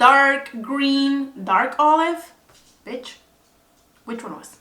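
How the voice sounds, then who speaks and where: A woman's raised, projected voice in a Spanish accent, high in pitch, very slow, with fairly even intonation. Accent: Spanish-accented English, non-native. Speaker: beauty vlogger. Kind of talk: makeup tutorial. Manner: casual, hesitant with fillers.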